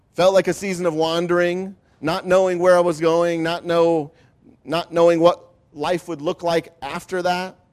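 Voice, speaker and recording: This man has a Midwestern US accent and a high pitch. His intonation is monotone and flat. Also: moderate pace. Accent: US Midwest. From Ohio. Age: 50s. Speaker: pastor. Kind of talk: testimony.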